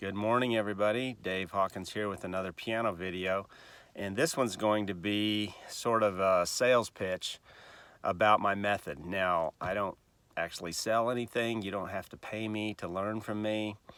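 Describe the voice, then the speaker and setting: This man has an unremarkable speaking voice, fairly low in pitch, with fairly even intonation and a moderate pace. The recording is very clean, with a silent background. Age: 60s. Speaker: piano teacher. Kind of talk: tutorial. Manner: casual, with filler words.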